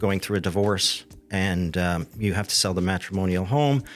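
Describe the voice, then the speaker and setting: With music in the background, the man talks at a moderate pace. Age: 60s. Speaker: real estate downsizing specialist. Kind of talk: interview.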